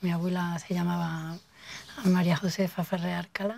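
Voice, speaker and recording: A woman speaks at a fairly slow pace and medium pitch. Her tone is dark, mellow and somewhat breathy. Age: 50s. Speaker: local resident interviewee. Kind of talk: oral history testimony. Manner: halting.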